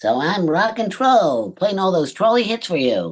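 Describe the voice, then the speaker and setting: Putting on a character voice, a man speaks at a moderate pace with a high pitch. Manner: playful, announcer-like.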